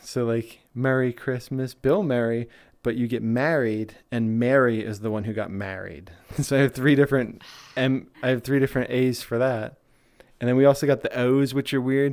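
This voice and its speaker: With a Philadelphia accent, a man speaks at medium pitch and a moderate pace in fairly even intonation, on a very clean recording with a silent background. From US, Philadelphia. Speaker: VR streamer. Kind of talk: casual chat. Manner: halting, many restarts.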